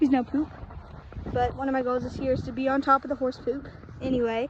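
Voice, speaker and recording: Against noticeable background noise, a woman with a high pitch speaks at a very fast pace in a monotone, flat way. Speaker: horse owner vlogger. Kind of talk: casual vlog narration while doing chores.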